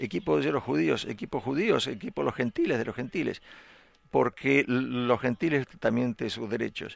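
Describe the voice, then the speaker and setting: Vocal fry runs through a man's medium-pitched voice. He speaks at a moderate pace with very wide pitch swings. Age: 50s. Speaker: pastor. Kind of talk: sermon.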